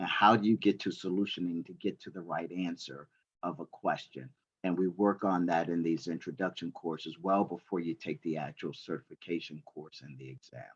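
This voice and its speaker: Vocal fry at a fairly quick pace, with big swings in loudness and ordinary pitch variation, in a dry, close sound with no echo. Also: man, very deep, low pitch for a man. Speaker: certification trainer, military veteran. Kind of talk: presentation to university students. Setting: classroom audience with online attendees. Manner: animated.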